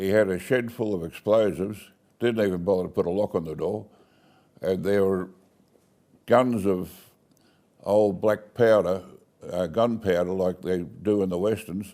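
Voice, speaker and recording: Speaking with an Australian accent, a man uses a fairly low pitch and a dark, mellow tone, keeping fairly even intonation at a moderate pace. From Australia, Bowral, New South Wales. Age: 80s+. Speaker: local elder telling his life story. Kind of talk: oral history interview.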